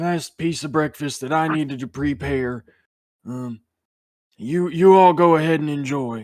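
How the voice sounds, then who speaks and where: Using a put-on character voice, a man speaks at a moderate pace in a fairly high pitch with long, frequent pauses, in a very clean recording with a silent background. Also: ordinary pitch variation. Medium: actual play. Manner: doddering, kindly.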